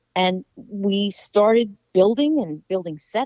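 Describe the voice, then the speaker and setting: This woman has a dark, mellow tone and a medium pitch. Her intonation is lively, and the sound is dry and close with no echo. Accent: American. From Washington, D.C. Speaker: sports TV producer. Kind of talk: interview.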